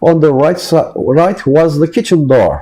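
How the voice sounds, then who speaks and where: A man with a non-native accent speaks in a dark, mellow tone. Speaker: author reading own work. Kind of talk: read personal essay-story.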